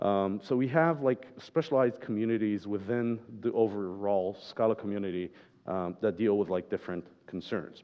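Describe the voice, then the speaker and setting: A man is speaking at a moderate pace. His pitch shows ordinary variation. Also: fairly low pitch for a man. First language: not English. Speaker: software developer, conference speaker. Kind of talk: conference talk.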